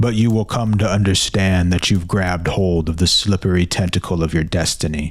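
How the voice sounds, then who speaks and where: Over light background noise, a man uses a put-on character voice with a very deep, low pitch at a moderate pace. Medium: read story. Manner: imperious, cold, unhurried.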